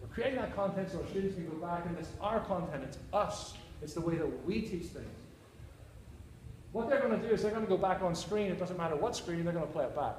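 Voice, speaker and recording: A man's high-pitched voice at a very fast pace with ordinary pitch variation, plus audible room echo and noticeable background noise. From Northern Ireland, Belfast. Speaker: university teacher presenting. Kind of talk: conference presentation. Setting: conference session with audience.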